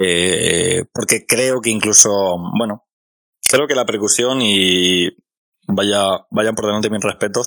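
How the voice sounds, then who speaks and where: Very slowly, a man speaks with a fairly low pitch and a bright, sharp tone. His intonation stays fairly even. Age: 30s. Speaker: podcast host and amateur musician. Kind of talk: interview. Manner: halting.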